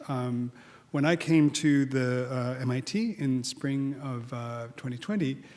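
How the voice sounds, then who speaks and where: With a slight Australian accent, a man speaks at a fairly high pitch with ordinary pitch variation. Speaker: head of architecture school. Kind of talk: welcome speech. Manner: halting, many fillers.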